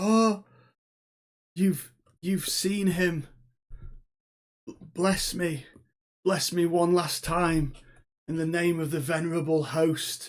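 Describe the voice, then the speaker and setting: A man's put-on character voice, high-pitched and very slow, with long, frequent pauses. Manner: pleading, imploring.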